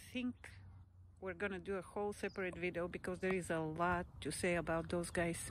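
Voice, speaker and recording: A woman speaks at a moderate pace with fairly even intonation. The sound is dry with no echo, over light background noise. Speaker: vlogger. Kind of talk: casual walking vlog narration. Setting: outdoors on a walk. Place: open country. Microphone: lapel.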